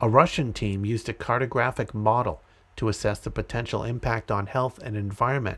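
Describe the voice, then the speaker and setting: On a very clean recording with a silent background, a man speaks at a moderate pace with an American accent. His is an unremarkable speaking voice of medium pitch with ordinary pitch variation. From Massachusetts (Andover). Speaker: podcast host. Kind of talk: reading aloud.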